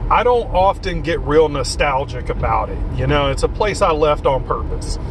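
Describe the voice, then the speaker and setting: A man speaks in a Southern US accent at a moderate pace. Audible room echo and noticeable background noise surround him. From US South, rural. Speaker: vlogger. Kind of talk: casual monologue. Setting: in a car. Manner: animated.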